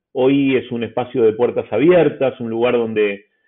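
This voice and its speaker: With an Argentine accent, a man talks with ordinary pitch variation. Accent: Argentine Spanish (Rioplatense). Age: 40s. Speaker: newspaper editor. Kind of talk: interview. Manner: hesitant fillers.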